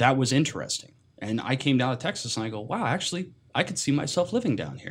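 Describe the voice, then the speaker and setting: Somewhat breathy and with lively intonation, the speaker talks very fast in an American accent. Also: man, medium pitch for a man. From US Pacific Northwest, Seattle. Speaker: podcast guest. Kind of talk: casual chat.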